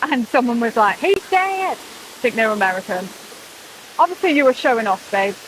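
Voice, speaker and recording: Speaking with a British accent at a high pitch, a woman is heard over noticeable background noise. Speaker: vlogger. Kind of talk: casual vlog chat. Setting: outdoors. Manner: animated.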